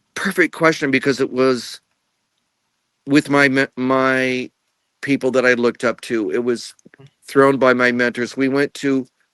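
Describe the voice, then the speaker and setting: In an American accent, a man speaks at a medium pitch with monotone, flat intonation. The sound is dry and close, without echo. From Illinois, USA. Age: 70s. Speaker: retired director of international programs. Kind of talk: interview answer.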